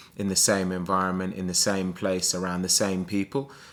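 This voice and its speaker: A man talks at a moderate pace with a very deep, low pitch. The recording is very clean, with a silent background. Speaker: sales coach. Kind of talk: motivational vlog. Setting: abroad indoors, early morning. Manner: soft-spoken.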